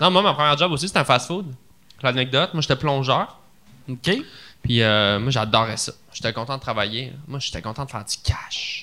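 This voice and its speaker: Bright and sharp in tone, a man with a Quebec accent sounds animated, his intonation lively. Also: medium pitch for a man, moderate pace. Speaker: comedian. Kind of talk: casual chat.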